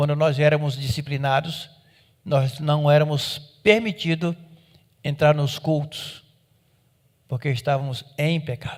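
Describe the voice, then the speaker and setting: On a very clean recording with a silent background, a man with a fairly high, somewhat breathy voice speaks at a fairly slow pace with fairly even intonation and long, frequent pauses. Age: 60s. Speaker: pastor. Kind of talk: sermon.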